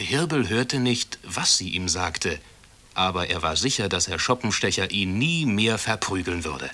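The voice reads in an unforced reading voice with lively intonation.

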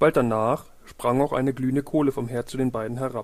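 The man's tone is slightly mellow and his pitch medium. He keeps a fairly quick pace with fairly even intonation.

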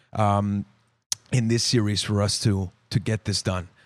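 A very clean recording of a man, the background silent. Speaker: hockey podcast host. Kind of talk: casual chat. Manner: loud; animated.

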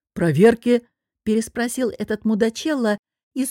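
Plain reading aloud with fairly even intonation. The background is quiet.

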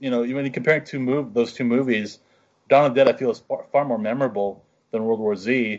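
A man talks at a fairly quick pace in a fairly high pitch. His is an unremarkable speaking voice. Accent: American. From rural western Pennsylvania. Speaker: podcast co-host. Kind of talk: casual chat.

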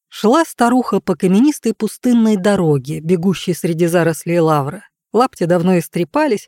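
On a very clean recording with a silent background and a dry, close sound with no echo, a woman speaks at a medium pitch in a dark, mellow tone, with lively intonation at a moderate pace.

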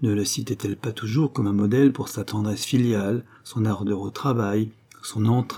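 Someone reads the words aloud in a plain way.

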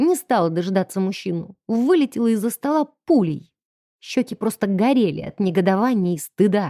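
A quiet background behind plain reading aloud

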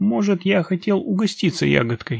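A man in a put-on character voice talks at a high pitch and a moderate pace, with lively intonation, vocal fry and a slightly husky edge.

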